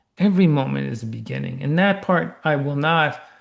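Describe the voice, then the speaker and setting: Moderate pace, ordinary pitch variation and audible room echo. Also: man. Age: 60s. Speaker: tech entrepreneur and ultra-athlete. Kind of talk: podcast interview. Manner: animated.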